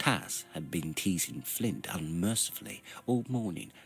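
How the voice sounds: The reading voice sounds natural.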